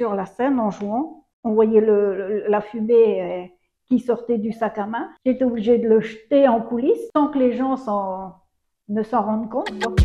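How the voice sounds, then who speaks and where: Speaking at a fairly slow pace, a woman keeps her fairly high pitch on a fairly even intonation. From Saint-Pierre-et-Miquelon (Miquelon). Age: 60s. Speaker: retired schoolteacher and former mayor. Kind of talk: interview. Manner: hesitant, many fillers and repetitions.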